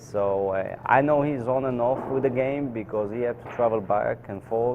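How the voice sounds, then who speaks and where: A man's medium-pitched voice at a moderate pace, with fairly even intonation and noticeable background noise. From Israel, Tel Aviv. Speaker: professional pool player. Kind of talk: interview. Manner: hesitant, many fillers.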